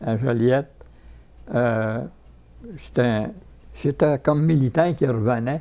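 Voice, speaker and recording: A man with a dark, mellow tone and medium pitch talks at a very slow pace, using ordinary pitch variation. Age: 90s. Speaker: war veteran. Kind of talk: interview. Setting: retirement home. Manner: halting.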